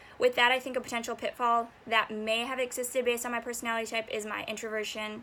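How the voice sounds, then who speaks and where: Here a woman talks at a fairly quick pace. Her voice is fairly high, with a bright, sharp tone. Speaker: university student. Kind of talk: class presentation. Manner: halting.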